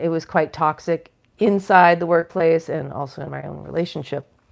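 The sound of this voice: A woman puts on a raspy character voice at a fairly low pitch, speaking at a moderate pace with fairly even intonation.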